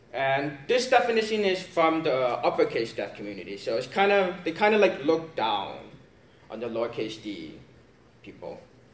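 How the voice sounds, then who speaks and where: At a moderate pace, a man speaks in a space with audible room echo. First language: sign language. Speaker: deaf student presenter. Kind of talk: class presentation.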